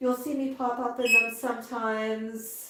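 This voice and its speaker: The speaker is a woman. She has a Canadian accent. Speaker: parrot owner and livestream host. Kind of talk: live stream chat.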